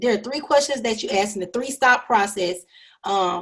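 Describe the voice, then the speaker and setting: A normal speaking voice from a woman, fairly high in pitch with lively intonation. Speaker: professor. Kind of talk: lecture. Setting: video call.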